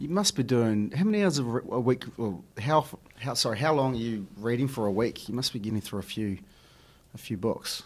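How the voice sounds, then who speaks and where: Someone speaks with a New Zealand accent. The pace is fairly quick and the intonation lively. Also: man, medium pitch for a man. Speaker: podcast host. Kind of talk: casual interview. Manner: halting, many fillers.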